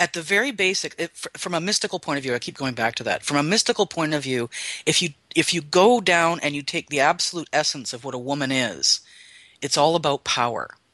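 Talking at a very fast pace, a man uses a fairly high pitch, a bright, sharp tone and lively intonation. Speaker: guest. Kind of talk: casual chat.

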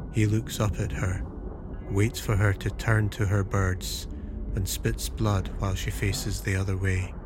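Music plays in the background as a man speaks fairly slowly at very even loudness. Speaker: audiobook narrator. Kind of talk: literary audiobook narration of gothic fiction, scripted. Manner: measured, atmospheric, unhurried.

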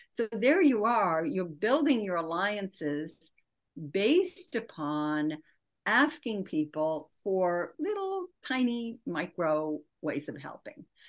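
A woman speaks at a medium pitch and a very slow pace. Her pitch swings very widely against a quiet background. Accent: Midwestern American. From US Midwest, Michigan. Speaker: author and leadership coach. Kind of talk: interview.

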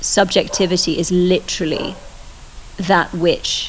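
Noticeable background noise runs behind the clip. A woman talks at a fairly slow pace. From England. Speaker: podcast co-host. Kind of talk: casual conversation.

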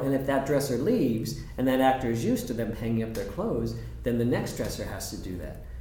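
A man with an American accent speaks at a very fast pace with fairly even intonation. Noticeable background noise and audible room echo fill the recording. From Southern California. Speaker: theater dresser. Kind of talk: casual chat.

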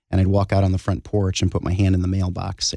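A man's very deep, low voice with a dark, mellow tone, monotone, flat intonation and a fairly quick pace, the sound dry and close with no echo. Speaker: cancer survivor and charity founder. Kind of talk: testimony.

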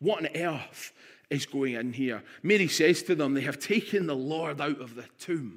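On a very clean recording with a silent background, a man with a Scottish accent and a fairly high pitch speaks at a fairly slow pace, with ordinary pitch variation and big swings in loudness. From Scotland, Stirling. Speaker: pastor. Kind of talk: sermon.

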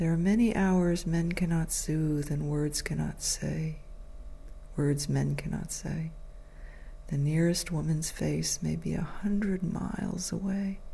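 A woman with an American accent at a fairly slow pace, amid audible room echo. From United States. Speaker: podcast host. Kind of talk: reflective monologue with poetry reading. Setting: at home.

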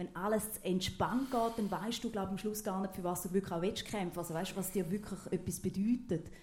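With audible room echo around her, a woman in an eastern Swiss accent speaks at a medium pitch with hardly any pauses. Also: fairly even intonation, fairly quick pace. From eastern Switzerland, Thurgau. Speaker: TV presenter. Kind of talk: casual stage interview.

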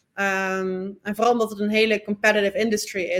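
A woman talks at a moderate speed in a medium-pitched voice. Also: very clean recording, silent background. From Netherlands. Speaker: sports lawyer. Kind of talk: interview. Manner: halting, frequent fillers and repeats.

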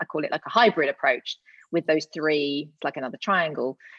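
With a very deep, low pitch, a woman talks at a fairly quick pace. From Gloucester, England. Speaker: community engagement consultant and author. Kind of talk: casual interview chat.

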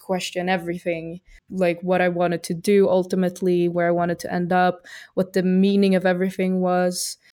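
On a very clean recording with a silent background, a woman speaks at a moderate pace in a medium pitch. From Sweden. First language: Swedish (speaking Spanish). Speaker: entrepreneur. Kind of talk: interview. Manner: hesitant, many fillers.

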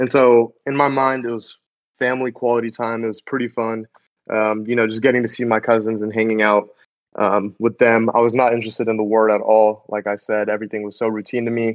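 At medium pitch, a man talks fairly quickly in a monotone, flat way. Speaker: podcast co-host, college student. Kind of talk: casual chat.

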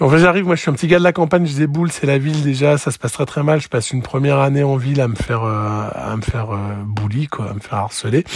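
A man talks at a very fast pace in a fairly high voice. His pitch varies in an ordinary way. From France, Lozère. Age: 40s. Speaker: former raver. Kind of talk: testimony. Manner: halting.

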